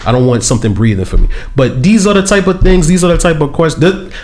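A man's high voice with lively intonation at a very fast pace, over noticeable background noise and audible room echo. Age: 30s. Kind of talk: casual chat.

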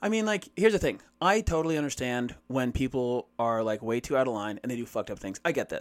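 Speaking very fast at a medium pitch, a man barely pauses. His voice swings very widely in pitch. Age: 30s. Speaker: podcast co-host. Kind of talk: casual chat.

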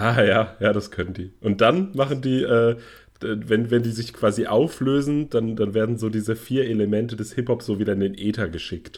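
Ordinary pitch variation and a moderate pace in an unremarkable speaking voice. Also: man, medium pitch for a man. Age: 40s. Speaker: podcast co-host. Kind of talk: casual chat.

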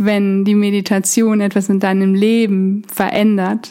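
In a soothing, calm tone, a woman speaks at a medium pitch and a very slow pace. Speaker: meditation guide. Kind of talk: guided meditation. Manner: slow, soothing, calm; gentle, hypnotic, repetitive.

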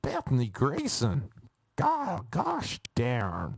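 Using a put-on character voice with an American accent, the speaker talks at a low-to-middle pitch and a very slow pace.

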